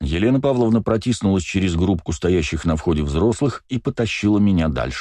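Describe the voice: The plain reading aloud carries lively intonation throughout.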